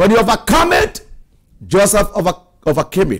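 A man speaks in a high voice with an animated tone and lively intonation. The background is quiet. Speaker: preacher. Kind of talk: sermon. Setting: church. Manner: animated, forceful preaching with declarations and exhortations. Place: studio. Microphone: lapel.

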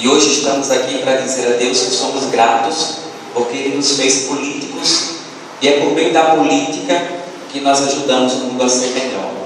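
Moderate pace from a man, fairly even intonation, strong room echo, and noticeable background noise. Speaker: speaker. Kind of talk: sermon. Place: hall.

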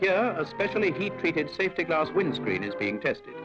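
A man speaks at a moderate pace. Clear music sits in the background. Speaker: documentary narrator. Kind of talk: formal documentary narration. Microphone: old recording.

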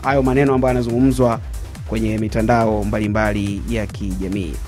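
A man talks at a moderate pace. Faint music sits in the background. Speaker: sports show host. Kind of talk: commentary. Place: studio. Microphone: studio mic.

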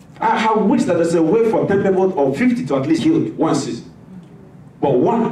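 There is audible room echo in the recording. The man in it talks at a moderate pace. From West Africa (Nigeria, Igbo). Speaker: pastor. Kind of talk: sermon. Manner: animated. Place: church.

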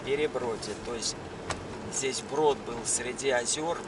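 Over noticeable background noise, a man speaks very slowly in a dry sound with no echo. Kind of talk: casual vlog narration. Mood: calm, proud of local area. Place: car. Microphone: phone near.

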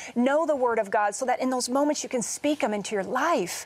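In an animated tone, a woman talks at a moderate pace with ordinary pitch variation. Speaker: TV co-host. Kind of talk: interview. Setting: studio. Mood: warm, earnest. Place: studio.

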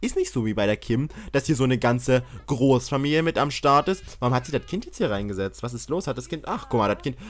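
Animated and fairly quick, a man speaks with very wide pitch swings and vocal fry on a very clean recording with a silent background. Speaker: gaming YouTuber. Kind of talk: let's play commentary.

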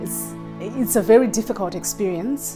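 A woman at a moderate pace with ordinary pitch variation, with clear music in the background. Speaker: vlogger. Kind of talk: casual vlog chat. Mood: earnest, reflective. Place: home room. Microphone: lapel.

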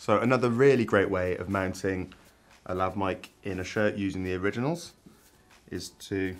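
A man with a very deep, low pitch speaks at a moderate pace and with fairly even intonation. Faint music plays in the background. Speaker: presenter. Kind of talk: tutorial. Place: studio. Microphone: lapel.

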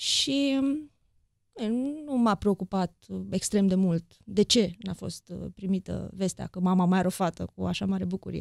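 A woman at a fairly slow pace with ordinary pitch variation, in a dry sound with no echo and a quiet background. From Romania, Deva (Transylvania); Romania. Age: 40s. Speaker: journalist and author; journalist. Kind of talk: interview conversation. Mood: reflective, personal. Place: studio. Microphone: studio mic.

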